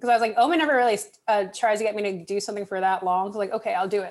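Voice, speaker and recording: A woman at a fairly high pitch in a very clean recording with a silent background. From Southern California. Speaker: mental health worker. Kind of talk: casual chat.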